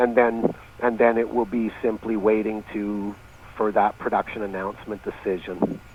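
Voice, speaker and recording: Noticeable background noise behind a man speaking at medium pitch. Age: 60s. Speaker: mining company CEO. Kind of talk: interview. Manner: halting, repeats words.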